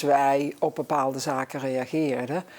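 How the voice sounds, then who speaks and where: A woman with a Brabant accent speaks in a dark, mellow tone with monotone, flat intonation. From Netherlands, Brabant (Zevenbergen). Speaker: guest on local talk show. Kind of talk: talk show interview.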